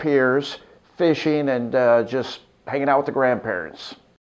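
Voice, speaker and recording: A normal speaking voice, male, medium in pitch, with ordinary pitch variation and fairly slow delivery. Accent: American. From Los Angeles, California, later Arkansas from junior high. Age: 60s. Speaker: radio morning show host. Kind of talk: interview-style personal storytelling. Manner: relaxed, many filler 'uh's.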